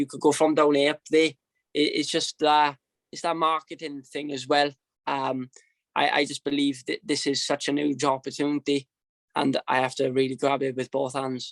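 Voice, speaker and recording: A man speaks in a monotone with flat intonation and a Welsh accent. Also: fairly high pitch for a man, moderate pace, dry, close sound with no echo. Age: 20s. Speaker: professional boxer. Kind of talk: interview. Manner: halting.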